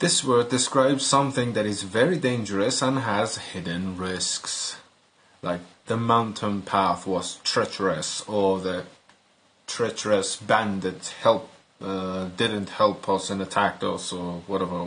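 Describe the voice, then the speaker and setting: Speaking fairly slowly with a non-native accent, a man uses ordinary pitch variation. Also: fairly low pitch for a man. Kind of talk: language teacher, slow clear explanation.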